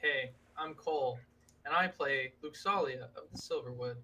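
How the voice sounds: A gruff, put-on character voice at a middle pitch, delivered at a moderate pace.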